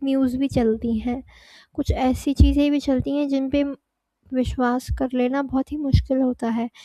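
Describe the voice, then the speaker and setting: A woman speaks in a high pitch at a very slow pace. Her intonation is monotone and flat. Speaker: media studies educator. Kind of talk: lecture. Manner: hesitant with fillers.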